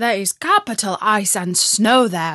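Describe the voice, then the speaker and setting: A put-on character voice from a woman, growling at medium pitch and a fairly slow pace against a quiet background. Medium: read story.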